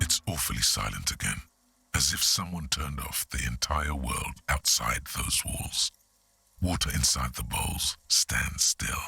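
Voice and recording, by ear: Putting on a character voice, a man speaks at a fairly slow pace with extremely low pitch, a bright, sharp tone, a husky, rough edge and vocal fry. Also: lively intonation.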